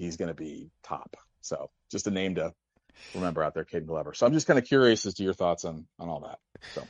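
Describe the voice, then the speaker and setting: Against a quiet background, a man with a Midwestern accent talks at a fairly quick pace, the sound dry and close with no echo. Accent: American Midwest. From US, St. Louis. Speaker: caller. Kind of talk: phone-in call. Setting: phone call.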